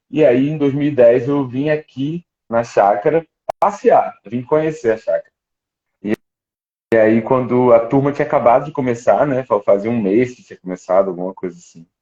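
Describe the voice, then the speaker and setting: This man talks at a moderate pace in a medium pitch with ordinary pitch variation. His loudness swings widely. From Rio de Janeiro, Brazil. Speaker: ministry school staff member. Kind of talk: live stream interview. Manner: halting, many repetitions.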